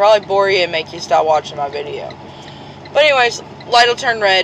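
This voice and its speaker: With noticeable background noise present, a woman talks at a medium pitch, her pitch varying in an ordinary way. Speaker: truck driver vlogger. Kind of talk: casual vlog explanation.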